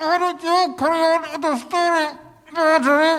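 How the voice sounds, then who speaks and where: A man puts on a squeaky character voice at an extremely high pitch. He speaks at a moderate pace. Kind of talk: comic live audio theatre. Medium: stage play. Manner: earnest, slightly flustered.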